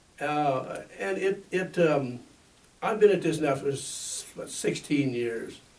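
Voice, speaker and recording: Over noticeable background noise and audible room echo, a man talks at a very slow pace with a fairly high pitch and lively intonation. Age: 80s+. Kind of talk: interview. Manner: halting, many fillers and repeats.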